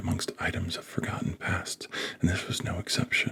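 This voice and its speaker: A soft-spoken man talks in a calm tone at a fairly quick pace. Noticeable background noise runs underneath. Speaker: author. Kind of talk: ASMR book reading. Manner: calm, soft-spoken.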